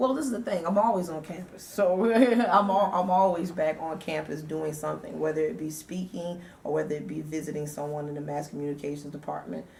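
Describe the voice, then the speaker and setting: Speaking at a fairly quick pace with an American accent, a woman uses a very deep, low pitch and lively intonation over noticeable background noise and audible room echo. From US South, Savannah, Georgia. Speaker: radio DJ and nonprofit founder. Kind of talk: interview.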